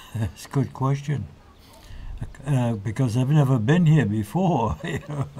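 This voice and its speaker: A man with an American accent speaks at a fairly slow pace with long, frequent pauses, his voice somewhat breathy, with a dark, mellow tone, medium pitch and lively intonation. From Massachusetts, Malden (Boston area). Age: 90s. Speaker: war veteran. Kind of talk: interview. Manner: halting.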